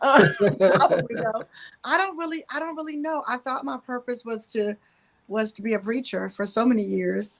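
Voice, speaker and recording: Speaking at a moderate pace with a Southern US accent, a woman with a fairly high pitch makes very wide pitch swings and big swings in loudness. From North Carolina. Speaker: counselor and spiritual mentor. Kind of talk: interview.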